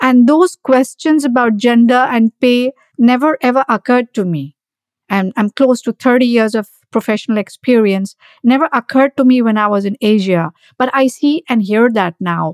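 Pitch varies in an ordinary way. The sound is dry and close, with no echo. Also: woman, high pitch for a woman, moderate pace. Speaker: podcast host. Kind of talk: interview.

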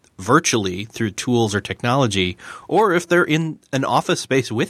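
A man at medium pitch, dry and close with no echo, on a very clean recording against a silent background. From US New York state. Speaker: podcast host. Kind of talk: interview, casual conversation.

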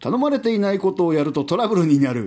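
Pitched fairly high, the man's voice rises and falls in very wide swings. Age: 40s. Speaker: podcast host. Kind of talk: solo monologue podcast. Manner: casual, filler-heavy.

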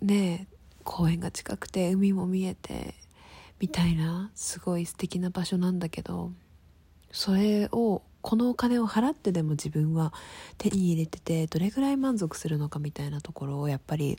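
A woman's dark, mellow tone comes through somewhat breathy, with ordinary pitch variation. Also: fairly low pitch for a woman, moderate pace. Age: 20s. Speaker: podcaster. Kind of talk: casual monologue. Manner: chatty, informal.

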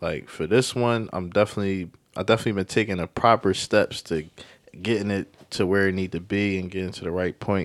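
With a very deep, low pitch and fairly even intonation, a man talks at a fairly quick pace on a very clean recording with a silent background. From West Philadelphia. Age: young. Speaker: rapper. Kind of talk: interview.

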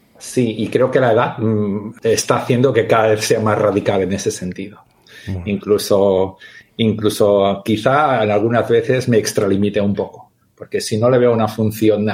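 The man's intonation is fairly even. He talks at a fairly slow speed. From Catalonia. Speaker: teacher and gamification expert. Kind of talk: interview.

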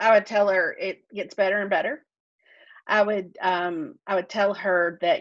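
A woman with a Southern US accent talks at a moderate pace with fairly even intonation. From US South. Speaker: author and podcaster. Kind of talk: casual interview chat.

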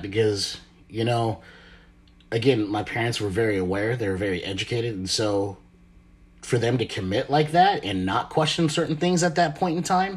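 His voice is somewhat breathy and medium in pitch, with very wide pitch swings. The man keeps a moderate pace. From Marshall Islands. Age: 30s. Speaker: podcast host. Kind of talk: casual monologue.

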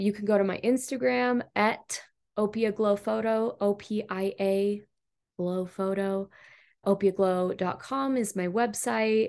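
Against a quiet background, a woman with an unremarkable speaking voice talks at a fairly slow pace with ordinary pitch variation. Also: medium pitch for a woman. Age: 30s. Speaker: photographer. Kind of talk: casual chat.

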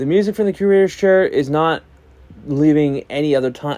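The tone is dark and mellow, and the pace is fairly quick. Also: man. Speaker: music podcast host. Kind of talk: solo podcast album review. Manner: fast.

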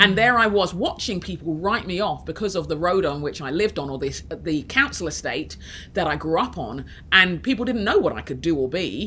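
A woman with an English accent speaks at a fairly quick pace in a fairly low pitch, her tone bright and sharp, her intonation lively, with some vocal fry. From inner city London, England. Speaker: author and leadership coach. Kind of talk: casual interview chat. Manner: halting, with frequent restarts.

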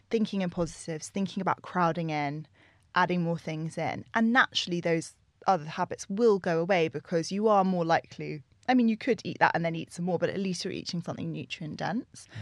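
Someone speaks with a southern English accent at a fairly quick pace. The pitch varies in an ordinary way, over a quiet background. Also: woman. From London, England. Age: 30s. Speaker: nutritionist and yoga teacher. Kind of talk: casual interview chat.

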